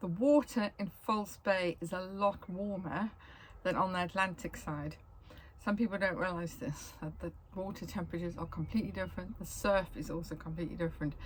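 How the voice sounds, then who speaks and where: Fairly quick, somewhat breathy speech from a woman. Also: medium pitch for a woman, ordinary pitch variation. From South Africa, Cape Town. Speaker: travel vlogger. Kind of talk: casual travel guide monologue. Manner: casual, with frequent ums and self-corrections.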